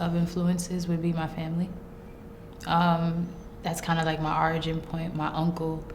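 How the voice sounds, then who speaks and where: Over noticeable background noise and audible room echo, a woman speaks with a Brooklyn accent at a fairly low pitch. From Brooklyn, New York. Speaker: rapper. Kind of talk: interview. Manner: casual.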